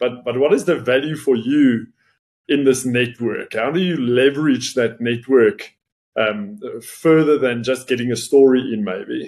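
Fairly slow pace, medium pitch and ordinary pitch variation from a man with an unremarkable speaking voice. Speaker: podcast host. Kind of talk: casual interview conversation.

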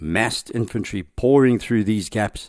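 With a quiet background, a man speaks in an ordinary speaking voice at a fairly low pitch. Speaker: podcast host. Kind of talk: history documentary narration. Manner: measured, authoritative storytelling; formal, steady delivery.

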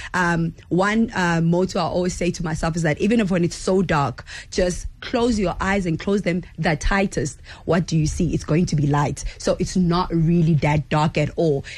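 This woman has a fairly low pitch and a somewhat breathy voice, speaking at a moderate pace with very even loudness and ordinary pitch variation. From South Africa, Durban. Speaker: lead vocalist of a band. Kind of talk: radio interview. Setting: radio studio.

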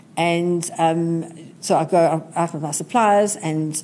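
A woman's dark, mellow voice, fairly low in pitch. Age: 60s. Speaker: retail entrepreneur. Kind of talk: interview. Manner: energetic.

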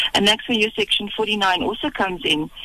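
Noticeable noise fills the background. Over it, a woman talks fairly quickly. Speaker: police officer, legal services. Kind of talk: radio interview. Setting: phone call.

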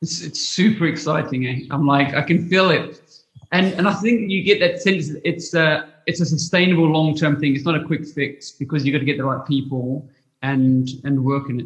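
With an unremarkable speaking voice, a man talks at a moderate pace and fairly high pitch, using ordinary pitch variation. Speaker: podcast host. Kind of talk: interview.

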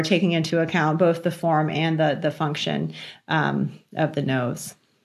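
A woman with an American accent, fairly low in pitch, with vocal fry and a moderate pace. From Virginia, US. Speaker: facial plastic surgeon and professor. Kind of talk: interview conversation.

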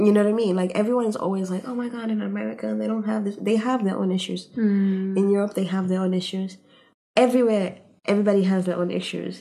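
A woman's medium-pitched, somewhat breathy voice at a very fast pace, with fairly even intonation. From Tanzania. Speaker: PhD student. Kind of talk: casual chat.

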